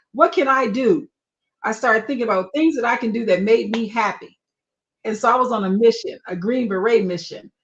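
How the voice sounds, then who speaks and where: A woman's fairly high voice, a normal speaking voice, at a moderate pace with ordinary pitch variation. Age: 60s. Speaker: marketing strategist and coloring book author. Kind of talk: live stream interview, personal story. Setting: live stream.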